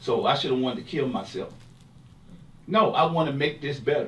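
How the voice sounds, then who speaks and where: Speaking at a moderate pace, a man with a fairly high pitch uses lively intonation while audible room echo surrounds him. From US inner city. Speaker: bereaved parent and advocate. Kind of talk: panel discussion. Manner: loud; animated.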